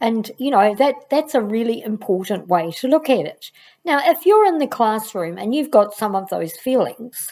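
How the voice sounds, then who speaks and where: A woman talks in an ordinary speaking voice at a moderate pace, her intonation lively. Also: fairly high pitch for a woman. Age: 60s. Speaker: education channel host, former teacher. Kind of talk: casual vlog talk to camera.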